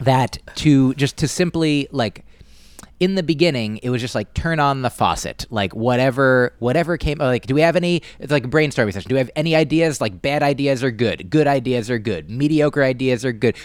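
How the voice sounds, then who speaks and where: This is a plain, everyday voice with ordinary pitch variation, delivered at a fairly quick pace. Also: man, medium pitch for a man. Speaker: stand-up comedian and podcaster. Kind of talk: casual interview.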